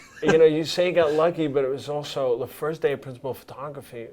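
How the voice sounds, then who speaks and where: A man talks at a fairly quick pace with a fairly high pitch. There is noticeable background noise. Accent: New York. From Brooklyn, New York. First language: Italian. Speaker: cinematographer. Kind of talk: interview.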